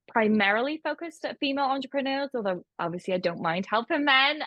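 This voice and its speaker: The speaker has a British accent and a fairly quick pace. The intonation is lively. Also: woman. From United Kingdom. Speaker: accountant and bookkeeping business owner. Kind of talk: online course presentation, conversational.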